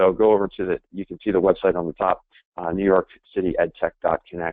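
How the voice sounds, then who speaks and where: In a slight East Coast accent, a man talks at a very fast pace. His pitch is very deep and low, with monotone, flat intonation. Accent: slight East Coast edge. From US East Coast. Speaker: sales trainer. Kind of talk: webinar presentation. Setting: webinar. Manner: direct.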